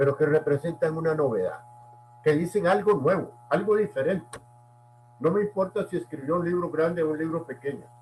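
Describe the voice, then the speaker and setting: Against noticeable background noise, a man with a fairly high voice speaks with ordinary pitch variation. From Costa Rica. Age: 80s+. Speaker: essayist and language academy member. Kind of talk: interview. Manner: formal.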